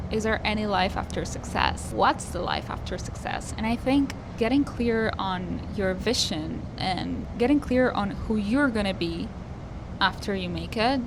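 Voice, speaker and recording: A woman talks at a fairly slow pace. Her voice carries audible room echo, and there is noticeable background noise. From Argentina. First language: Spanish. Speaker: singer-songwriter vlogger. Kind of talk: personal vlog monologue.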